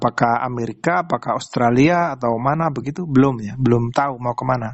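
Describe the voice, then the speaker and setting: A man talks in a normal speaking voice at a medium pitch. His pace is fairly quick, and his pitch variation is ordinary. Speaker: radio host. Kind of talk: radio interview. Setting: phone call.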